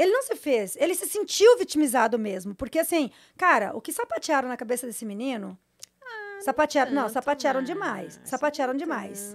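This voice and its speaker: A high-pitched woman at a fairly quick pace, with very wide pitch swings. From Brazil, interior São Paulo and rural southern Brazil. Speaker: former adult actress and content creator; former adult actress, content creator. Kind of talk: casual chat. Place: studio. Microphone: studio mic.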